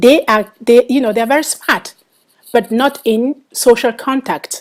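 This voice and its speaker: In a Cameroonian accent, a woman talks at a moderate pace with ordinary pitch variation. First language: Bangwa. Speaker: author. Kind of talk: interview. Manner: halting, many fillers.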